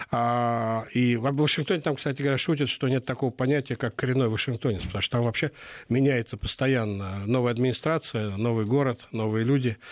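The man talks at a fairly quick pace and a medium pitch. His loudness stays very even against a quiet background. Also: fairly even intonation. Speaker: political analyst. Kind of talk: radio interview. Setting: studio.

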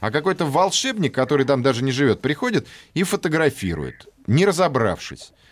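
A man speaks at a fairly quick pace with very even loudness and vocal fry. His pitch is fairly high and his intonation is lively. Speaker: radio host. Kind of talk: casual chat. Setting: studio. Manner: animated.

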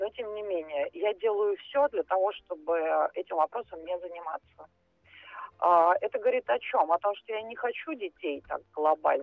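At a moderate pace, a woman speaks with a medium pitch. Her intonation is lively. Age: 40s. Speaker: caller. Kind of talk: phone-in question to radio psychologist. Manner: halting, many fillers.

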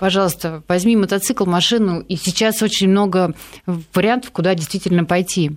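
An ordinary speaking voice moves at a moderate pace with fairly even intonation and very even loudness. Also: woman, medium pitch for a woman. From Yaroslavl, Russia. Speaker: motorcycle racer and amateur pilot. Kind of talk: casual chat. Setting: studio.

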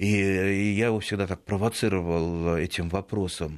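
This man's voice sits at a low pitch. There is little pitch movement. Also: moderate pace, very clean recording, silent background.

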